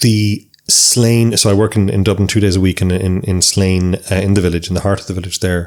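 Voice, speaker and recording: Speaking with a west of Ireland accent, this man has a very deep, low pitch. His pace is fairly quick and his intonation monotone and flat. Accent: Irish, rural west of Ireland. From Ireland, County Sligo. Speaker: psychotherapist. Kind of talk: interview.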